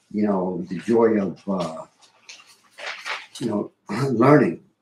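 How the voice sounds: A man talks at a fairly slow pace in a fairly low pitch, his tone dark and mellow with a husky, rough edge. His intonation is lively.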